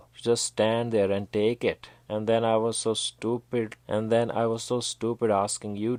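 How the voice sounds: Speech in a natural reading voice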